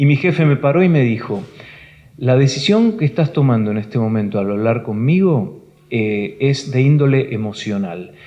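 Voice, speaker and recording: A man talks at a moderate pace in a medium pitch, with lively intonation. It is an ordinary speaking voice. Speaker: broadcaster and news anchor for international networks. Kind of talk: talk to a live audience at a professional union hall. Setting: auditorium, live talk.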